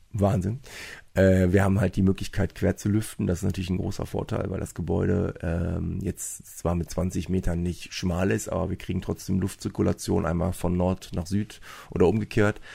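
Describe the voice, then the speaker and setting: At a moderate pace, a man speaks in a very deep, low pitch with a dark, mellow tone, fairly even intonation and a somewhat breathy quality. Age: 40s. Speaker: fitness club owner and sports teacher. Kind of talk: casual interview. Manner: hesitant with many fillers.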